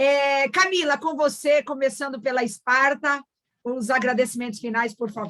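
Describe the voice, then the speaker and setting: A woman speaks in a high pitch with a bright, sharp tone. Her pace is moderate and her pitch variation ordinary. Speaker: event moderator. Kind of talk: closing remarks of online panel.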